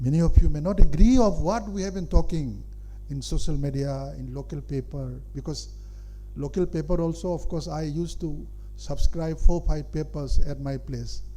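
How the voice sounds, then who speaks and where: A man's voice with big swings in loudness and audible room echo. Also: moderate pace. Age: 70s. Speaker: senior public figure addressing students. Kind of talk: speech to an audience. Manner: halting, with many fillers.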